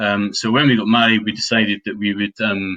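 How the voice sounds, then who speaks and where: Against a quiet background, a man with a Scottish accent speaks in a fairly low pitch with a bright, sharp tone and monotone, flat intonation. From Scotland (Dunblane, Stirling area). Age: 40s. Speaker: property investor and trainer. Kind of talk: webinar presentation. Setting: online webinar. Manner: hesitant, many fillers.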